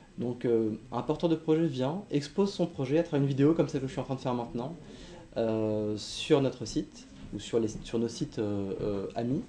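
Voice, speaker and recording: Here a man speaks at medium pitch and a moderate pace. His tone is dark and mellow, and his intonation is lively. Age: 40s. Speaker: company executive. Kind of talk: interview. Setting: remote video recording. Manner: hesitant, many fillers.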